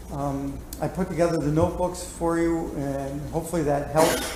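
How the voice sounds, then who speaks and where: A man talks at a moderate pace. Audible room echo and noticeable background noise fill the recording. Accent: American. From upstate New York. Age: 70s. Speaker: city auditor, commission coordinator. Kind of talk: public meeting remarks. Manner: halting, many fillers.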